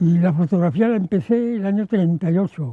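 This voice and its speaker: A man's high pitch with a dark, mellow tone and ordinary pitch variation. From Aragon, Spain (Huesca, Alto Aragón). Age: 90s. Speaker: retired itinerant photographer. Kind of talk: testimony.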